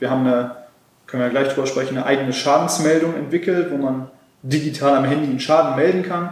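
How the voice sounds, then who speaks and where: Amid noticeable background noise and audible room echo, a man talks at a very fast pace with fairly even intonation. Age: 20s. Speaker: car workshop manager and startup founder. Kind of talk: interview. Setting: on location at a car workshop.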